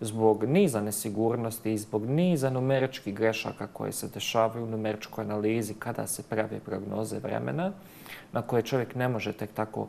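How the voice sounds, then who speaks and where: Pitch moves with ordinary variation. A man speaks at a fairly quick pace. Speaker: guest. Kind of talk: interview answer. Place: studio. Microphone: lapel.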